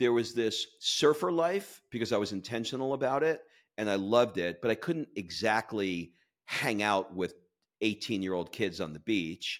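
In a very clean recording with a silent background, a man with an American accent uses a normal speaking voice, fairly low in pitch, with lively intonation at a moderate pace. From New York City (Queens). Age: 50s. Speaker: chiropractor turned author and podcaster. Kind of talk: interview.

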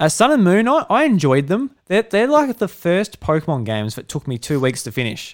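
With an Australian accent, a man speaks at a fairly quick pace, his pitch swinging very widely, on a very clean recording with a silent background. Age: 20s. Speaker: podcast host. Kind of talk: casual chat.

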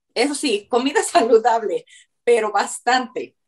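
An unremarkable speaking voice from a woman, fairly slow, with ordinary pitch variation. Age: 50s. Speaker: weight-loss client. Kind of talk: testimony.

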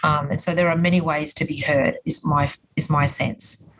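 A woman's very deep, low voice in an Australian accent, monotone and flat, at a moderate pace. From Queensland, Australia (Logan). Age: 50s. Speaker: politician. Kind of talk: interview. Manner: hesitant, many fillers.

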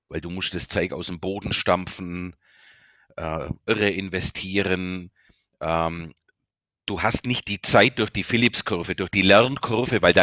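A man with a Bavarian accent speaks at a fairly slow pace. His pitch is very deep and low, with ordinary pitch variation. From Bavaria, Germany. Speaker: company founder and CEO. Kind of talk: interview.

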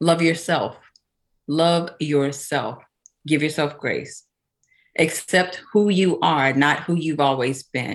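A woman with a Southern US accent speaks in a very deep, low pitch with fairly even intonation. Her pace is very slow, with long, frequent pauses. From Louisiana (small town). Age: 50s. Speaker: spiritual mindset coach. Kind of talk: casual interview chat.

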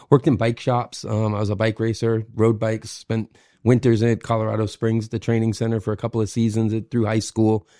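A man's very fast speech with an American accent, dark and mellow in tone, in a dry, close sound with no echo. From Maine, US (Kennebunkport). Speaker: hospitality manager. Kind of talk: interview. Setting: home kitchen recording.

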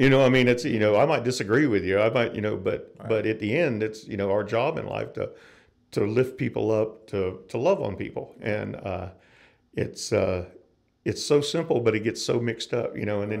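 A man has an ordinary speaking voice at a medium pitch, with an American accent. His intonation is lively and his pace fairly quick. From US South, North Florida. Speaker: musician and guitar builder. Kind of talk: interview.

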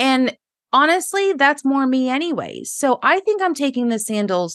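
A woman's high, bright, sharp voice with very wide pitch swings at a fairly slow pace, dry and close with no echo, over a quiet background. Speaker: podcast host. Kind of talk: casual chat.

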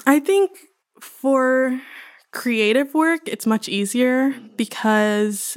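Speaking at a very slow pace with ordinary pitch variation, a woman is heard in a dry, close recording with no echo, very clean and with a silent background. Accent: American. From Houston, Texas. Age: 20s. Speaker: PhD student in art history. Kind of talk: casual interview.

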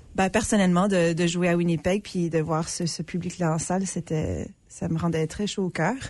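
A woman's fairly even intonation and moderate pace come through against a quiet background. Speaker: actress and artistic associate. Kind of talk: casual interview chat. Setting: radio studio.

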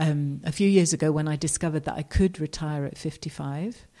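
A woman speaks with a southern English accent in a very deep, low voice with a dark, mellow tone. Her pitch varies in an ordinary way, and her pace is fairly slow. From southeast England. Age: 50s. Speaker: retired nurse. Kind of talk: interview testimony.

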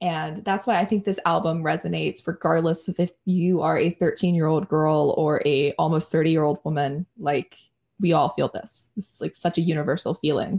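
A woman speaks at a moderate pace with vocal fry and a fairly low pitch. Her intonation stays fairly even, and the recording is very clean with a silent background. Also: dry, close sound with no echo. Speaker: podcast host. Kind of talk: casual chat.

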